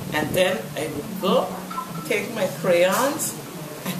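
A woman speaks very slowly while music plays behind her. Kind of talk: interview answer. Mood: warm, fond reminiscing. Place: home room.

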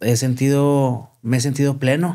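A man talks at a fairly slow pace, with a quiet background around him. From Chihuahua, Mexico. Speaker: entertainment show host and marketer; podcast guest. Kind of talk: interview. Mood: reflective, earnest. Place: studio. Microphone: studio mic.

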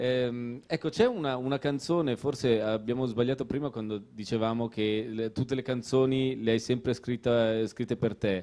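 His tone is dark and mellow, with fairly even intonation. The man talks at a moderate pace with hardly any pauses. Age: 30s. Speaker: author; guest. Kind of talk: casual chat. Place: stage. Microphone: handheld.

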